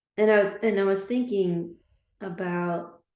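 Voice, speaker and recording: With audible room echo, a woman of medium pitch speaks very slowly in a dark, mellow tone and ordinary pitch variation. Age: 60s. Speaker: business owner. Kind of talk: casual podcast conversation.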